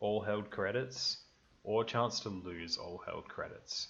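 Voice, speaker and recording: A man talks at a fairly slow pace with an Australian accent. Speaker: gaming youtuber. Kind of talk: gameplay commentary. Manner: casual, relaxed.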